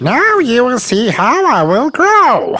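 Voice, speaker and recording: A put-on character voice, high in pitch, at a fairly slow pace, with very wide pitch swings. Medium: read story. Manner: boastful.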